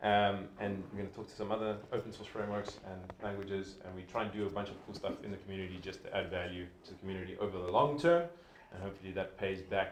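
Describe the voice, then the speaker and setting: A very fast male voice in a South African accent, fairly low in pitch with fairly even intonation and big swings in loudness, amid noticeable background noise and audible room echo. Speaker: sponsor representative, community lead. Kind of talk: event sponsor speech. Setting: meetup with live audience, livestreamed. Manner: casual, filler-heavy.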